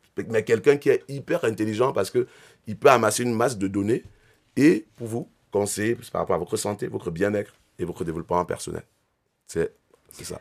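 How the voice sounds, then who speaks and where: Lively intonation at a fairly quick pace, broken by long, frequent pauses. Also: man, medium pitch for a man. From Cameroon. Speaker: entrepreneur. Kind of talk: interview.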